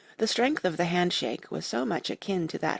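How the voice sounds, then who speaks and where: Fairly quick speech comes through against a quiet background. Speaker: audiobook narrator. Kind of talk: audiobook narration of a classic novel.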